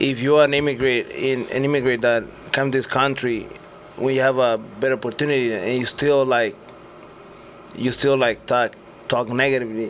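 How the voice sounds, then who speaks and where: Clearly audible background noise sits under speech at an average speed whose pitch varies in a normal way. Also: man. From Mexico, Sinaloa. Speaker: retired world champion boxer. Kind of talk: podcast interview. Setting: radio studio. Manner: casual, halting with repetitions.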